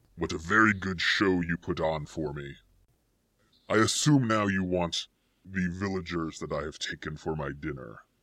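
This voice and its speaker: A gravelly put-on character voice at a moderate pace. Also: man, very deep, low pitch for a man. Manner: evil, nasty, sarcastic.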